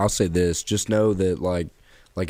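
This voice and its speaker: This man has a very deep, low voice with a dark, mellow tone. His intonation stays fairly even, and the recording is very clean with a silent background. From Kentucky. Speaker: podcast co-host. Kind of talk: casual chat.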